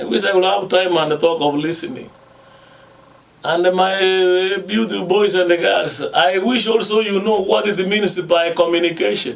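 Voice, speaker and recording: There is audible room echo and noticeable background noise as a man speaks. His high voice moves at a moderate pace with ordinary pitch variation. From Kenya. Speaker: radio host. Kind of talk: radio talk.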